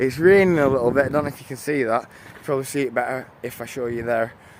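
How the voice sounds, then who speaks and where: A man speaks with a British accent. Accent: British, viewer likes it. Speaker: live streamer. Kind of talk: casual chat. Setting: outdoors, canal walk in light rain. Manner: casual, halting with many fillers.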